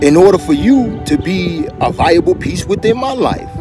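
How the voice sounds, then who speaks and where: A man speaks with a dry sound and no echo while clear music plays in the background. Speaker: relationship vlogger. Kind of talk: casual vlog chat. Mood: earnest, reflective. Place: street. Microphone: phone near.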